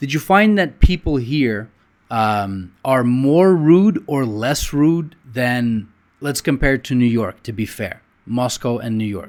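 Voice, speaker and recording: Speaking very slowly with lively intonation, a man with a Russian accent holds a medium pitch. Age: 40s. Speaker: interviewer, channel host. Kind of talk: interview.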